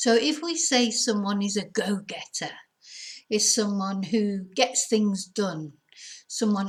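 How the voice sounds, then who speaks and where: Speaking very slowly in a British accent, a woman has a somewhat breathy voice at medium pitch with ordinary pitch variation. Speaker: English teacher. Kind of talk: English lesson to camera.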